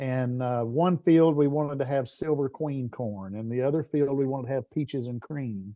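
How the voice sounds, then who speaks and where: With a slight Southern US accent, a man speaks at a moderate pace and medium pitch, with ordinary pitch variation and hardly any pauses. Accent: bit of a Southern. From Tennessee, US South. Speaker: business strategist and leadership coach. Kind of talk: interview conversation. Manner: hesitant, many fillers and repeats.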